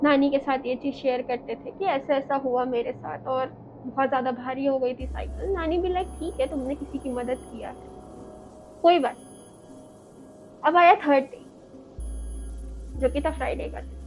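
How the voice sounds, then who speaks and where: A high-pitched woman at a moderate pace, with ordinary pitch variation, big swings in loudness and long, frequent pauses. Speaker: horror story narrator. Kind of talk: horror storytelling narration.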